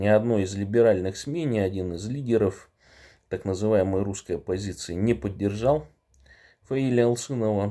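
A man speaks at a moderate pace with a fairly low pitch and a dark, mellow tone, leaving long, frequent pauses over a quiet background. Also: ordinary pitch variation. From Buryatia, Russia. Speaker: political activist; public speaker. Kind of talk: political address. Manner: halting with filler sounds. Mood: earnest, serious. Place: home room. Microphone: phone near.

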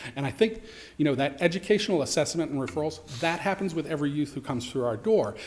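Lively intonation carries through a recording with audible room echo. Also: man. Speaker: youth homeless shelter director. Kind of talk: public testimony at council meeting. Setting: council chambers. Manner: fast.

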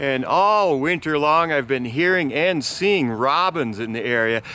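A man's bright, sharp voice, fairly slow and with lively intonation, in a dry sound with no echo. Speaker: local news vlogger. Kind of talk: casual vlog news report. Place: open country. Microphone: phone near.

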